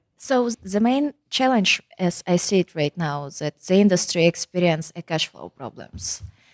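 A woman in a fairly low pitch speaks at a fairly slow pace, with very wide pitch swings and big swings in loudness, in a dry, close sound with no echo. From Kazakhstan. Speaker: engineer and entrepreneur. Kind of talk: interview.

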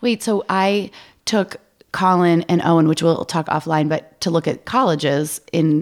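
A woman with an American accent speaks in a plain, everyday voice, fairly low in pitch with ordinary pitch variation. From Maine, US. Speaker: podcast co-host. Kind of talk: casual chat.

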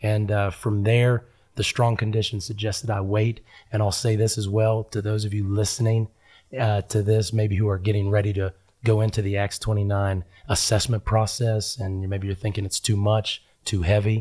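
With a fairly low pitch and a dark, mellow tone, a man speaks somewhat breathily in a monotone, flat intonation on a very clean recording with a silent background. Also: moderate pace. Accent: American. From Huntington, West Virginia. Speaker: pastor. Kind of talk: interview conversation.

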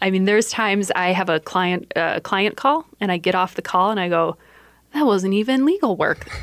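A woman with a normal speaking voice and an American accent, medium in pitch, at a moderate pace with ordinary pitch variation. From Iowa. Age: 30s. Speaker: lawyer. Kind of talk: radio interview. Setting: radio studio.

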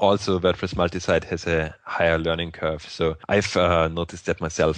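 A man with a non-native accent talks at a fairly quick pace over a quiet background. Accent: foreign-accented English. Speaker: podcast co-host and WordPress entrepreneur. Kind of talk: casual technical podcast discussion.

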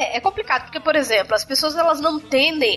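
Noticeable background noise surrounds the recording. A woman speaks in a raised, projected voice. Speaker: podcast host. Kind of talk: casual panel discussion. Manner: energetic, intense.

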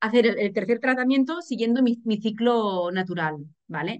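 A woman speaks with lively intonation. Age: 40s. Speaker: journalist and single mother. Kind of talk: casual interview. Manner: animated.

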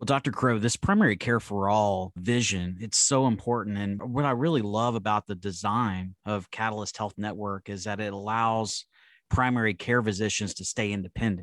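With a plain, everyday voice, a man talks at a moderate pace with hardly any pauses, his fairly low pitch held to a fairly even intonation on a very clean recording with a silent background. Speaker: podcast host, physician. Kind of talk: interview.

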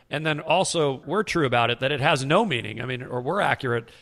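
An unremarkable speaking voice from a man at medium pitch, with ordinary pitch variation and a fairly quick pace. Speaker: podcast host. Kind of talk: podcast interview and intro.

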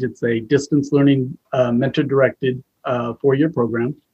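A man speaks at a moderate pace in a medium pitch. His voice is somewhat breathy, with fairly even intonation. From US Northwest (Idaho). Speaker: educator and school administrator. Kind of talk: interview.

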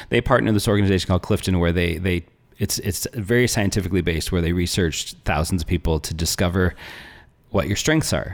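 A man with an American accent talks at a very fast pace. His voice is very deep and low. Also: ordinary pitch variation. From northern Arizona (small town). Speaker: natural health coach. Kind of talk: interview conversation. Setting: studio.

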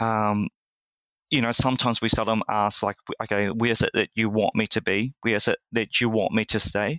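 Over a silent background in a very clean recording, a man with a New Zealand accent talks at a fairly quick pace in a medium pitch, his tone bright and sharp, the sound dry and close with no echo. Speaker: church lay leader. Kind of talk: interview.

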